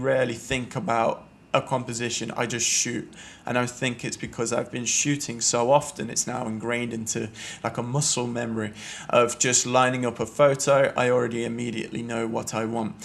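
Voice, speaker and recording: A man speaks at a medium pitch in a flat, monotone way. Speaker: photography podcaster. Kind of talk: casual solo podcast talk. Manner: occasional stuttering; hesitant with fillers.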